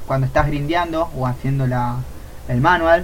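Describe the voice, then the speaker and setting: A man with a Rioplatense accent, amid noticeable background noise. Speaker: streamer, podcast co-host. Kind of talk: casual chat. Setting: live stream.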